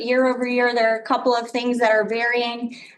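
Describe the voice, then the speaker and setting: Audible room echo follows this woman's speech. Her pitch is high. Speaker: city department director presenting budget. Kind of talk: budget presentation at council meeting. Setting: council chamber with microphones. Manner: hesitant, many filler words. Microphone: too far from mic, mic not working.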